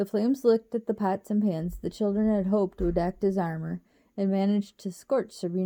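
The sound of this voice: This is an unforced reading voice.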